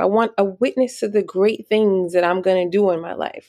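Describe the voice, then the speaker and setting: Her pitch varies in an ordinary way as a woman in a normal speaking voice talks fairly quickly. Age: 40s. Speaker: podcast host. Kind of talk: solo casual monologue. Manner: conversational with frequent fillers and laughs.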